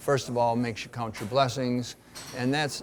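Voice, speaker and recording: Male speaker, a normal speaking voice, intonation kept fairly level. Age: 60s. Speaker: doctor, race partner. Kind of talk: interview.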